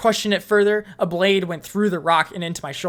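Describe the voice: The intonation stays fairly even during this plain reading aloud.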